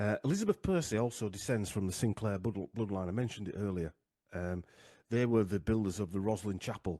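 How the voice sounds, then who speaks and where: Speaking very fast with a Yorkshire accent, a man has a dark, mellow tone and ordinary pitch variation, and the sound is dry and close with no echo. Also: fairly low pitch for a man, quiet background. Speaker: genealogy researcher, podcaster. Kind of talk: casual interview presentation. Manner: halting, many fillers.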